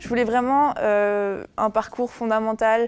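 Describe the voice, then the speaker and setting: A woman at a very slow pace, monotone and flat, over a quiet background. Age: 20s. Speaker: university student. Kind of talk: interview. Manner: hesitant, many fillers.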